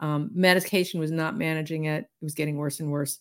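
A woman with an American accent speaks at a fairly low pitch with ordinary pitch variation on a very clean recording with a silent background. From US South. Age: 60s. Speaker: intuitive healer and author. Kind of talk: casual chat.

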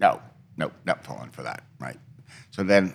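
The recording is very clean and the background silent. A man talks with vocal fry. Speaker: retired correctional officer. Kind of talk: interview. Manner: matter-of-fact.

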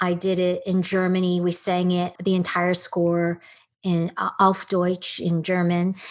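This woman has an American accent. She talks in a fairly low register. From Texas. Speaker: actress and producer. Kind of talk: casual interview chat.

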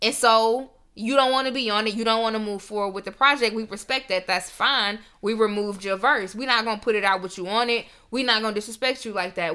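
A woman speaks at a fairly quick pace with a bright, sharp tone. Her pitch is fairly high, with ordinary pitch variation. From Memphis, Tennessee, US South. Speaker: podcast host. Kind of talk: casual chat.

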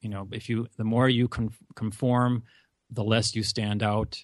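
With an Upper Midwest accent, a man speaks at a moderate pace and medium pitch in a monotone, flat intonation against a quiet background. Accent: Upper Midwest American, mild. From US Upper Midwest, North Dakota. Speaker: college advisor and podcaster. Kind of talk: casual interview.

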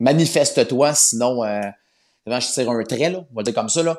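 At a fairly slow pace, a man talks in a medium pitch with ordinary pitch variation, on a very clean recording with a silent background. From Quebec, north shore of Montreal. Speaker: Bible narrator. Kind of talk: interview. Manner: halting, frequent repetitions.

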